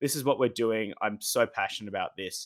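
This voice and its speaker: A man speaks at a medium pitch with a bright, sharp tone and ordinary pitch variation. The recording is very clean, dry and close, with no echo and a silent background. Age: 20s. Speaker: sports administrator and masters student. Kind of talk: interview.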